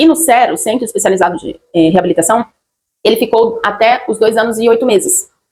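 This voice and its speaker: The pace of this woman's speech is fairly quick. Her voice sits fairly high in pitch. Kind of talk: personal testimony vlog. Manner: halting, many fillers.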